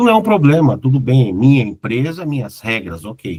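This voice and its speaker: A man speaks at a moderate pace, his pitch swinging very widely. The sound is dry and close, with no echo. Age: 50s. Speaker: corporate consultant and former executive. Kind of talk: casual chat. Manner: relaxed.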